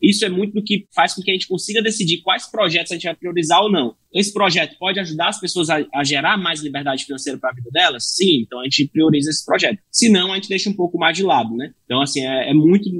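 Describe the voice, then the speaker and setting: With hardly any pauses, a man talks at a very fast pace in a high-pitched, bright, sharp tone with lively intonation. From Brazil, Fortaleza, Ceará. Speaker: tech startup founder and CEO. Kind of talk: podcast interview.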